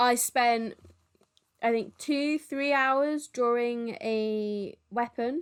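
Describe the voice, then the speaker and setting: A woman speaks in a high pitch with ordinary pitch variation on a very clean recording with a silent background. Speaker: twitch artist streaming a drawing. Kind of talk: live stream drawing tutorial chat. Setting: live stream with background music. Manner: loud, talking over music.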